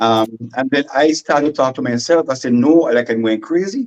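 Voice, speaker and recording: A man with a Vincentian accent at a moderate pace, lively intonation, dry and close sound with no echo. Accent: Vincentian Creole English. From St Vincent and the Grenadines. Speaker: comedy skit creator. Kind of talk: radio interview. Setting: radio studio guest.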